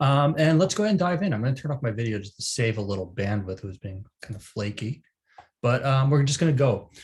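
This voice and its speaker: Talking at a very fast pace, a man with an American accent sounds somewhat breathy, his medium pitch making very wide swings. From United States. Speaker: training manager, instructor. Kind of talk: online training class. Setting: video call webinar. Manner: casual, many filler words.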